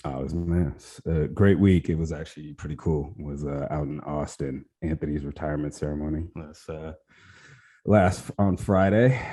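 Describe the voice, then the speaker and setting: In a very clean recording against a silent background, a man with an American accent speaks at a moderate pace in a very deep, low pitch, his dark, mellow tone showing ordinary pitch variation and big swings in loudness. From Portland, US Pacific Northwest. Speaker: podcast co-host. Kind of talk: casual chat.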